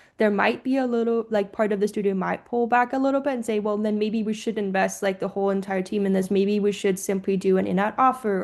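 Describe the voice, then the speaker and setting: A woman speaks very fast at a medium pitch, her intonation fairly even and her delivery with hardly any pauses. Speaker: games industry panelist. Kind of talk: panel discussion.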